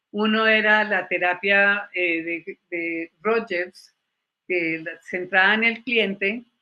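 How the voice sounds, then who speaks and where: In an English accent, a woman speaks at a medium pitch with ordinary pitch variation. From Colombia. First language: English (speaking Spanish). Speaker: psychologist and former university lecturer. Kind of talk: panel talk, personal testimony.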